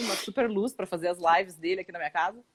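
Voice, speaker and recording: A woman talks very fast in a Paraná accent. Her pitch is medium and varies in an ordinary way. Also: dry, close sound with no echo. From Brazil, Paraná. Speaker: actress and acting instructor. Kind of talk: casual chat.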